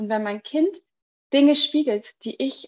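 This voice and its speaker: A woman's voice with ordinary pitch variation, dry and close with no echo. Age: 30s. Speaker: entrepreneur and mothers' coach. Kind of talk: podcast interview.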